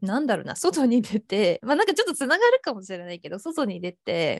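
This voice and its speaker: A woman's high-pitched voice swings very widely in pitch. The sound is dry and close, with no echo. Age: 20s. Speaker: freelance designer. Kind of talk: casual chat.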